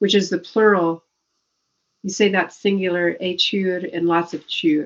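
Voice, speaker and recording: A woman with an American accent, medium in pitch, at a fairly slow pace. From Northern California. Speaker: author. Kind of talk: interview.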